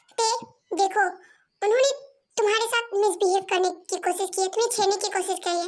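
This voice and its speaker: Using a put-on character voice, a woman speaks at an extremely high pitch with ordinary pitch variation. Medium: read story. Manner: intense, clingy.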